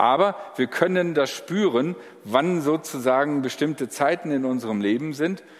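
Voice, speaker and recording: This man uses a normal speaking voice, fairly high in pitch. He keeps a moderate pace with ordinary pitch variation. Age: 60s. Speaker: pastor. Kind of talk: sermon.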